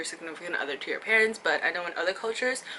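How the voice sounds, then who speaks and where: Lively intonation marks this very fast speech. Behind it, background noise is noticeable. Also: woman. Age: young. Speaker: vlogger. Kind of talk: casual chat. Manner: loud.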